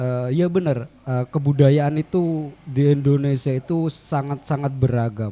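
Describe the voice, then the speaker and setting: A man's medium-pitched voice unfolds very slowly with fairly even intonation. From Central Java. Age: young. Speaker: young cultural heritage advocate. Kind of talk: radio interview. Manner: soft-spoken.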